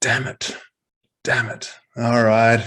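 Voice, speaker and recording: This man's voice is loud. He is the one speaking. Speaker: crypto show panelist. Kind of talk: casual chat.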